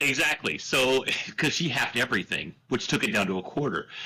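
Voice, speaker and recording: In a Texan accent, the voice moves at a fairly quick pace with a bright, sharp tone and ordinary pitch variation. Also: man. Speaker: media business owner, podcast guest. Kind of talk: casual chat.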